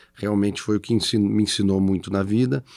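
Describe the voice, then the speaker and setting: Over a quiet background, a man with a fairly low pitch talks at a fairly quick pace. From Rio Grande do Sul, Brazil (Farroupilha, Serra Gaúcha); Rio Grande do Sul, Brazil. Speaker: company CEO; guest. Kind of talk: interview. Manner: halting. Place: studio. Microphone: studio mic.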